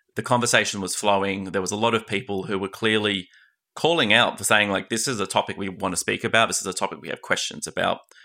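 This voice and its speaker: Speaking at a very fast pace in an Australian accent, a man has a fairly low pitch, a bright, sharp tone, and ordinary pitch variation. The recording is very clean, with a silent background. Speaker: podcast host. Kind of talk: interview.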